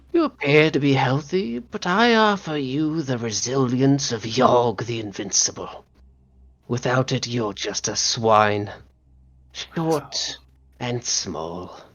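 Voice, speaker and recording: Using a put-on character voice, a woman speaks at a fairly slow pace with a very deep, low pitch. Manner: condescending, tempting.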